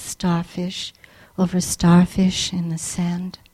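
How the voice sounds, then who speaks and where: Speaking very slowly, a woman with an American accent uses a medium pitch and sounds somewhat breathy. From Japan, then Pennsylvania. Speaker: poet and English professor. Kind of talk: poetry reading. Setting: library event with audience.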